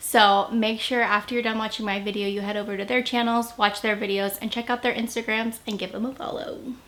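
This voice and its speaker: A woman's fairly high, monotone, flat voice at a fairly quick pace with hardly any pauses. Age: 20s. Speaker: YouTuber and mom. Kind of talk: casual vlog chat.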